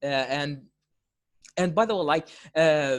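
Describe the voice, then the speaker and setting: The speech comes in an Arabic accent at a fairly slow pace, in a very clean recording with a silent background. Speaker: language-learning YouTuber interviewing a guest. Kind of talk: casual interview conversation. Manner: halting, many fillers and repetitions.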